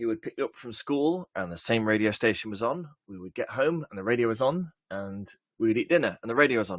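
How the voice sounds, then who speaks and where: A man with an English accent speaks at medium pitch, fairly quickly, with lively intonation and big swings in loudness. The sound is dry and close, with no echo. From England. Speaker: software conference speaker. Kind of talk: conference talk. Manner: hesitant, many fillers.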